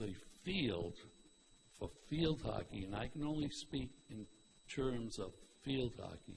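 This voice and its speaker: A man talks at a very slow pace with lively intonation and a somewhat breathy, medium-pitched voice. Light background noise is present. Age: 70s. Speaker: public commenter at school committee meeting. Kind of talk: public comment at meeting. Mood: earnest, mildly critical. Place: hall.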